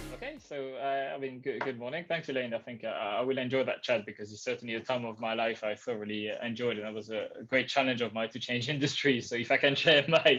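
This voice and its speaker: With a French accent, a man talks at a very fast pace with hardly any pauses, his medium-pitched voice bright and sharp and his intonation fairly even. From France. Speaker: customer experience professional. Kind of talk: interview. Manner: hesitant, many fillers.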